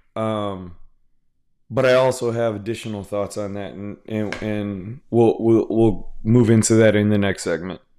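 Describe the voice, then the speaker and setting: The speaker has an American accent and a dark, mellow tone, talking at a fairly slow pace with fairly even intonation and big swings in loudness. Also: man, fairly low pitch for a man. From Houston, Texas. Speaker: comics podcast host. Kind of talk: casual solo commentary. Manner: halting, many repetitions and fillers.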